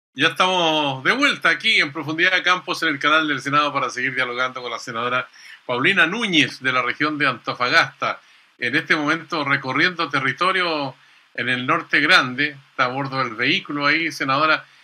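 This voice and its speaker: Bright and sharp in tone, a man's voice moves at a fairly quick pace. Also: ordinary pitch variation. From Chile. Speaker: TV interviewer. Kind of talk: political interview. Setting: studio. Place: home room. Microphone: video call.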